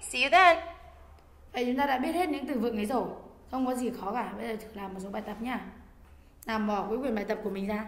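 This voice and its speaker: Amid audible room echo, a woman with a fairly high pitch and ordinary pitch variation talks at a very fast pace broken by long, frequent pauses. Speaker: English teacher. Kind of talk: lecture.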